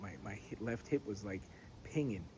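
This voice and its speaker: A man's fairly low, somewhat breathy voice with ordinary pitch variation. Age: 40s. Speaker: pipe smoking vlogger. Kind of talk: casual chat. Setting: outdoors. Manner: halting.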